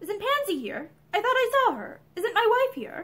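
Using a put-on character voice, a woman speaks at a moderate pace with an extremely high pitch, a fairly bright tone and big pitch swings.

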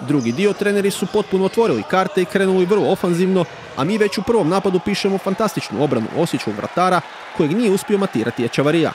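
Over crowd noise in the background, a man talks very fast in an energetic tone at a high pitch. His intonation is lively while his loudness stays very even. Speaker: sports commentator. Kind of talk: sports highlights commentary, voiceover recap of a futsal match. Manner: fast, energetic play-by-play delivery; clear, formal, report-style narration.

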